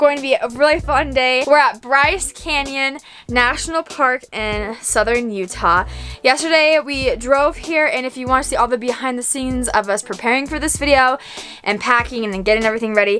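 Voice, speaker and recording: A woman speaks in a raised, projected voice as faint music plays in the background. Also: moderate pace. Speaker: travel vlogger. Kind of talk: casual vlog chat. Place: home room. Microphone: phone near.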